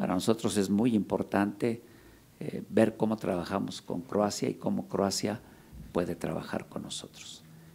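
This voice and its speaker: A man's dark, mellow tone, fairly low pitch, vocal fry, moderate pace, ordinary pitch variation. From Mexico. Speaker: congressman, committee chair. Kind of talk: formal welcoming speech. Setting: congressional meeting room. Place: meeting room. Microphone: podium.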